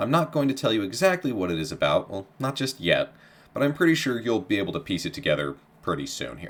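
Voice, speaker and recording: A man speaks with vocal fry and an upbeat tone. His pitch swings very widely. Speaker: history podcast host. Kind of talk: casual podcast intro. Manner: upbeat, informal.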